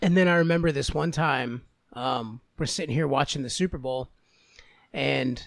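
In an unremarkable speaking voice, someone talks at a moderate pace with ordinary pitch variation. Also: man. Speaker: podcast co-host. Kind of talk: casual comedic banter. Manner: joking, laughs often.

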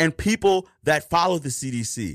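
A man with a fairly high pitch and lively intonation speaks in a fairly bright tone on a very clean recording with a silent background. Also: moderate pace.

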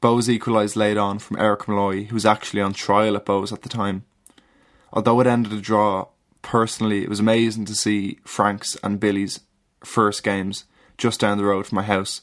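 Fairly quick, monotone, flat delivery on a very clean recording with a silent background. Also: man. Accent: Dublin. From Ireland, Dublin. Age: 20s. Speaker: listener contributor. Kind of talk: reading aloud.

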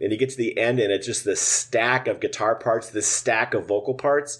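Light-free of clutter, the background stays quiet. The man has an American accent. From Minnesota, US Midwest. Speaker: musician and drummer. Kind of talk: casual interview.

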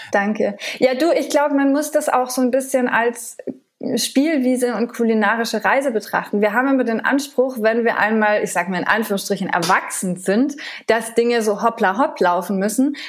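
A woman's fairly high voice, a plain, everyday voice, with ordinary pitch variation at a moderate pace. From France. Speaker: TV chef and food blogger. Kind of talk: interview.

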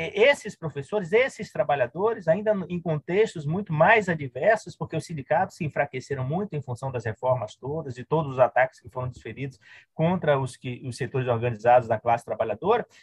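At a fairly quick pace with hardly any pauses, a somewhat breathy voice moves through lively intonation and big swings in loudness, the sound dry and close with no echo. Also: man, fairly high pitch for a man. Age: 50s. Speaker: historian and university professor. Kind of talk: interview conversation.

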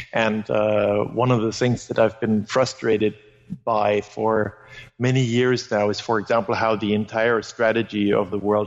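A man's fairly low voice with monotone, flat intonation. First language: German. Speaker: anthropologist, book author. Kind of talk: interview.

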